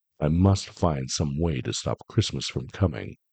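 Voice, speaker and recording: A man speaks in a put-on character voice with a growl. His pitch is very deep and low, and his pace is moderate. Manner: growling, grumpy, scheming.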